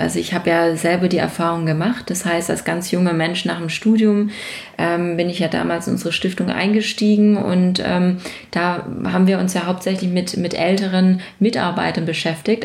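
In a room with audible echo, a woman speaks at a medium pitch with a somewhat breathy voice and fairly even intonation. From Baden-Württemberg, near Stuttgart. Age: 30s. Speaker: business owner and association chair. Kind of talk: interview.

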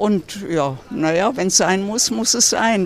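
Someone speaks very slowly with lively intonation over noticeable background noise. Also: woman. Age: 80s+. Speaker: passer-by. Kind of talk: street interview. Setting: outdoors.

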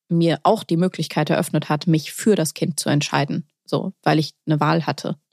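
A woman with a plain, everyday voice speaks at a fairly low pitch and a fairly slow pace with fairly even intonation, recorded dry and close with no echo on a very clean recording with a silent background. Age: 30s. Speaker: poetry slammer and young mother. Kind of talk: casual chat.

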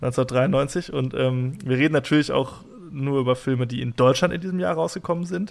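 Speaking at a moderate pace, a man uses an unremarkable speaking voice with a medium pitch and ordinary pitch variation. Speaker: podcast host. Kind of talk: casual chat.

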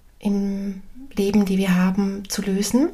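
Somewhat breathy and very slow, a woman speaks in a medium-pitched voice, dark and mellow, with a calm, warm tone. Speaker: medium and spiritual coach podcaster. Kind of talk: spiritual talk, solo podcast. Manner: calm, warm, with hesitations.

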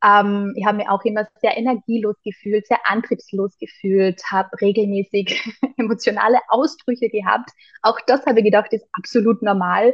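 Fairly high in pitch, a woman with an unremarkable speaking voice talks with fairly even intonation. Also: moderate pace, hardly any pauses. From Austria, Carinthia. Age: 30s. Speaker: holistic health coach. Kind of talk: interview conversation.

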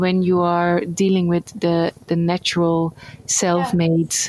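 At a fairly slow pace, a woman with a Dutch accent speaks at medium pitch. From Netherlands. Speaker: NGO worker in rural development. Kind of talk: interview.

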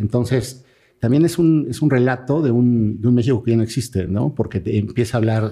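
A man talks at a fairly quick pace in a medium pitch, with ordinary pitch variation. His tone is dark and mellow, and somewhat breathy. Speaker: sports journalist and author. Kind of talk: podcast interview.

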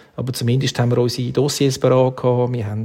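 Speaking in a Swiss accent at medium pitch, a man goes at a fairly quick pace in a monotone, flat intonation over noticeable background noise. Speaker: event agency executive. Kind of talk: interview.

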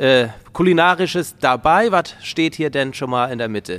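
A normal speaking voice from a man, fairly high in pitch with lively intonation. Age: 30s. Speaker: podcast host. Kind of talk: casual chat. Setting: farm.

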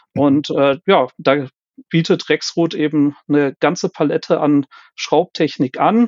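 This man speaks at a very slow pace with very even loudness. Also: fairly high pitch for a man, ordinary pitch variation. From Germany, Cologne. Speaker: quality manager in fastening technology. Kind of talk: interview. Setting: remote call. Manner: hesitant, many fillers.

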